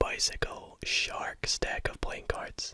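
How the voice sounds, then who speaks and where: Whispering over noticeable background noise. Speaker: ASMR creator and card magician. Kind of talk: whispered ASMR card tricks. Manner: up-close whisper.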